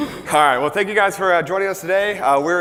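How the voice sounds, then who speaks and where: Loud and at a very fast pace, a man speaks over noticeable background noise. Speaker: conference speaker. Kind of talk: conference talk. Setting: stage with audience.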